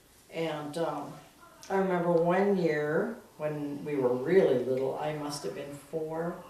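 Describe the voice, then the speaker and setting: With audible room echo and noticeable background noise, a woman talks at a fairly slow pace in a very deep, low pitch. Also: ordinary pitch variation. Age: 60s. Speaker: family member interviewee. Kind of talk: oral history interview.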